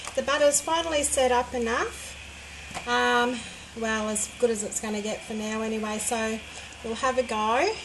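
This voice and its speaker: Over noticeable background noise and audible room echo, a woman speaks at a fairly slow pace in a high pitch with ordinary pitch variation. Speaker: home soap maker. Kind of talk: tutorial-style craft demonstration. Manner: hesitant, with many fillers.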